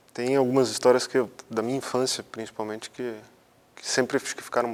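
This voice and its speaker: A man speaks at a medium pitch. His delivery is monotone, with flat intonation. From Brazil, São Paulo state interior (Botucatu). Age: 30s. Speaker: interviewee. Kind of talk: personal testimony. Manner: halting, with repetitions.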